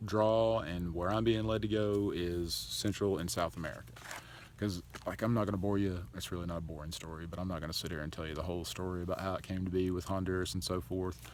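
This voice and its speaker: A man speaks at a fairly quick pace. His pitch is very deep and low, with ordinary variation. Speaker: charity founder vlogger. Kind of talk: casual vlog monologue.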